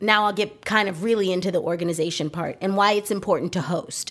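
On a very clean recording with a silent background, a woman speaks at a medium pitch with an animated tone. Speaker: podcast host, professional organizer. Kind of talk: solo podcast monologue.

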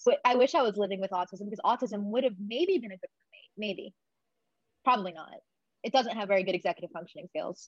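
A woman with a somewhat breathy, medium-pitched voice talks at a very fast pace, her pitch varying in an ordinary way and her loudness swinging widely, in a dry, close sound with no echo. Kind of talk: casual interview chat.

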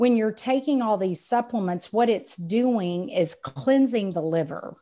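On a very clean recording with a silent background, a woman with a Texan accent speaks at a medium pitch and moderate pace, her tone dark and mellow with ordinary pitch variation. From Texas. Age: 50s. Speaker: sales coach and business owner. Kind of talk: casual interview chat.

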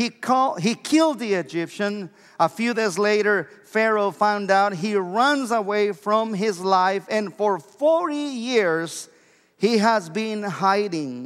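Speaking at a very slow pace, a man with a Mexican accent uses lively intonation at a high pitch. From Mexico. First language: Spanish. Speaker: pastor. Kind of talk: sermon. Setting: church.

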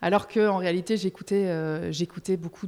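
A woman's fairly slow speech, very clean recording, silent background. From Belgium. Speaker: music press officer. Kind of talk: casual interview. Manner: halting, many repeated words.

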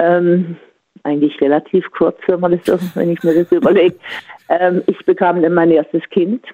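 A woman speaks fairly slowly at a fairly low pitch, her intonation monotone and flat and her loudness very even. The sound is dry and close with no echo. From Offenburg, Baden. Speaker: caller, sports teacher. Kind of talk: casual phone chat. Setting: phone call.

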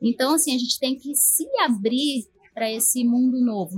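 Fairly slow speech from a woman, pitched high. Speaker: technology professional. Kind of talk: casual panel discussion.

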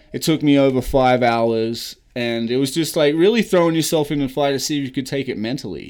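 A man with an American accent speaks at a fairly quick pace with hardly any pauses, his fairly high voice showing ordinary pitch variation. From Australia. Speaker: former professional baseball player and charity founder. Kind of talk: casual interview.

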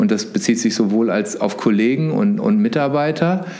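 Heard with audible room echo and noticeable background noise, a man speaks at a moderate pace using very wide pitch swings. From northern Germany, suburb of Hannover. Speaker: marketing executive. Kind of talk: interview.

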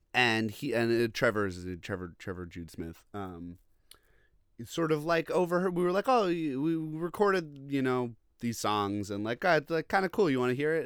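A man with an American accent talks at a moderate pace and medium pitch, with very wide pitch swings. The recording is very clean, with a silent background. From Long Island, New York. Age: 30s. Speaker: record label head and drummer. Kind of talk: casual chat. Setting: at home.

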